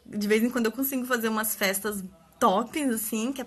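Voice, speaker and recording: A woman's fairly high, somewhat breathy voice shows ordinary pitch variation and holds a moderate pace. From Brazil, Espírito Santo (Vila Velha). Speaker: papercraft party-decor maker. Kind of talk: instagram live tutorial talk. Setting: live stream at home.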